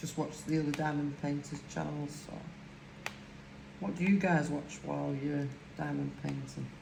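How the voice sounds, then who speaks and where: A woman at a moderate pace, with long, frequent pauses, audible room echo and noticeable background noise. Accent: strong Lancashire. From northern England, Lancashire. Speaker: crafting YouTuber. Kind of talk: casual chat while crafting.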